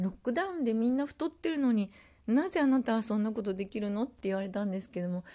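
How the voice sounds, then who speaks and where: Over a silent background in a very clean recording, a woman speaks at a fairly high pitch with very wide pitch swings, in a dark, mellow and relaxed tone. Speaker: podcaster. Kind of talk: casual solo talk. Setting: at home. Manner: relaxed, many fillers.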